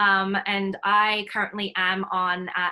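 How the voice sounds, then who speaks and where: A woman's bright, sharp tone at medium pitch. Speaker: nonprofit founder and workshop facilitator. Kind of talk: online workshop talk. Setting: video call. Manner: fast.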